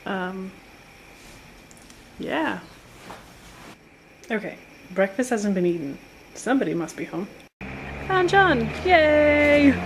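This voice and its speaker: This woman's medium-pitched, somewhat breathy voice swings very widely in pitch, broken by long, frequent pauses. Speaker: vlogger. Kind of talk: casual vlog. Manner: fast.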